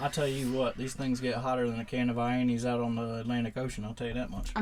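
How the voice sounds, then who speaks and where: A man talks very fast at a medium pitch in a strong coastal North Carolina accent. His intonation stays monotone and flat. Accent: thick coastal North Carolina. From coastal North Carolina, USA. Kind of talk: casual, folksy.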